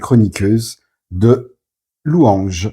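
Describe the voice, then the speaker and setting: A man's dark, mellow voice at a very slow pace, in a very clean recording over a silent background. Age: 50s. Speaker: book reviewer. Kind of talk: interview. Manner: halting.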